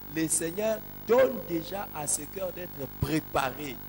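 A man at a very slow pace over light background noise. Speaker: pastor. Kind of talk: sermon. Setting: church. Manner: animated. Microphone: handheld.

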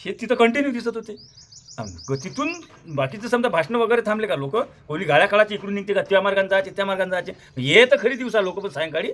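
Against noticeable background noise, a man with a high pitch speaks with lively intonation. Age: 50s. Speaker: farmer activist and social media creator. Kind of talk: monologue to camera. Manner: animated.

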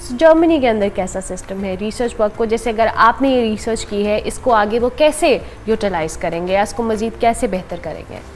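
There is noticeable background noise as a woman with a fairly high pitch speaks at a moderate pace with lively intonation and hardly any pauses. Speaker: morning show host. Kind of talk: talk show interview.

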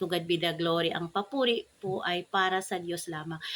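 The delivery runs at a fairly quick pace. It is a normal speaking voice. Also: woman. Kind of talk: devotional talk with prayer. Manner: formal.

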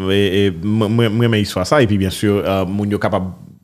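At a fairly slow pace, a man speaks in a plain, everyday voice, fairly low in pitch, with fairly even intonation. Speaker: radio host. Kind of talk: interview.

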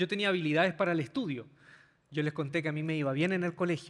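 The background here is quiet. A man talks with ordinary pitch variation. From Chile. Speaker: pastor. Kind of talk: sermon. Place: stage. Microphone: handheld.

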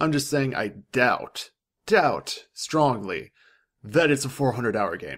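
With lively intonation, a man speaks at a very slow pace against a quiet background. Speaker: gaming news vlogger; gaming vlogger. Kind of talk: solo vlog commentary. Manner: casual, with frequent fillers.

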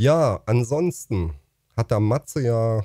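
His voice is fairly low, with a dark, mellow tone and a somewhat breathy quality. The man's intonation is lively, and the sound is dry with no echo. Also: quiet background. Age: 50s. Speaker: YouTuber and streamer; streamer, YouTuber. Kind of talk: casual vlog monologue. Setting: home facecam recording. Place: home room. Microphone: studio mic.

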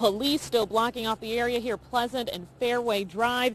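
A woman speaks at a moderate pace. The sound is dry with no echo, over light background noise. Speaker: TV news reporter. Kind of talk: live news report. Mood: serious, urgent. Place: street. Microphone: handheld.

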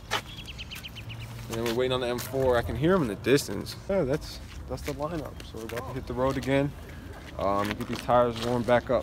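A man at a moderate pace, in a dry sound with no echo and noticeable background noise. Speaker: car YouTuber. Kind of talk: casual vlog commentary. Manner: casual, filler-heavy.

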